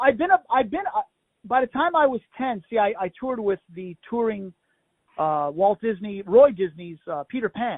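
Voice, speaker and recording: With an American accent, a man talks with lively intonation. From Florida. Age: 50s. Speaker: circus aerial stunt performer and show owner. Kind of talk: interview. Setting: phone call. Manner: animated.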